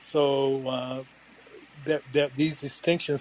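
A man speaks at a very slow pace with an American accent and medium pitch. Noticeable background noise runs underneath. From US. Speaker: audience member. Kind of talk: casual group discussion.

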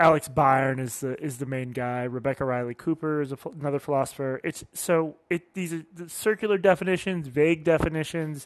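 A man with an ordinary speaking voice talks at a fairly quick pace, with hardly any pauses, fairly high pitch and ordinary pitch variation. The sound is dry and close with no echo, over a quiet background. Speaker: podcaster and call-in show host. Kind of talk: casual call-in chat.

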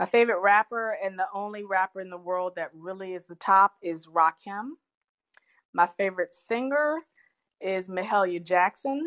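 A woman with a plain, everyday voice speaks at a moderate pace in a medium pitch, with ordinary pitch variation and big swings in loudness. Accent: American. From US South, Richmond, Virginia. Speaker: professor and business owner. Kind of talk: interview.

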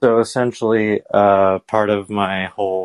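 A man with a plain, everyday voice speaks at a fairly low pitch and with fairly even intonation against a quiet background. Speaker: caller. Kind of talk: casual chat.

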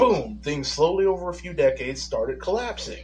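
This man speaks with an American accent. His pace is fairly quick. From Michigan. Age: 30s. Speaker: caller. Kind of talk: casual call-in chat. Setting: phone call.

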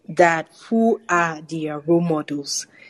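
A woman with a normal speaking voice talks at a fairly slow pace and medium pitch, her intonation lively, in a dry, close sound with no echo. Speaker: podcast host. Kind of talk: casual interview.

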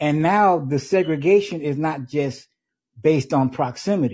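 An unremarkable speaking voice from a man, fairly high in pitch with ordinary pitch variation, over a quiet background. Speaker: caller. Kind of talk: phone call-in.

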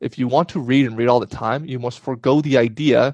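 The background is quiet, and the sound is dry and close with no echo. A man speaks in an unremarkable speaking voice at medium pitch and a moderate pace. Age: 20s. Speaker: podcast host. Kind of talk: solo monologue. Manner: casual, with frequent fillers.

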